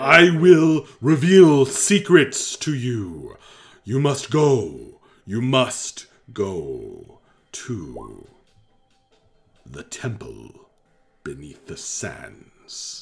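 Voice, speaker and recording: A man does a put-on character voice at medium pitch, speaking at a very slow pace. Long, frequent pauses break up his speech while faint music plays in the background. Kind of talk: theatrical villain voice. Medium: actual play. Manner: grandiose, menacing, then pleading.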